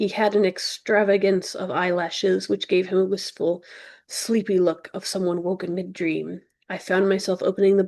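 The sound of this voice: Against a quiet background, an unforced reading voice carries fairly even intonation.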